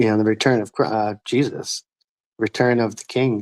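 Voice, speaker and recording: Someone mumbles the words. The sound is dry and close, with no echo. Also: man. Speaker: ex-scientology YouTuber. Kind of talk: casual chat. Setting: livestream video call. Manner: mumbling.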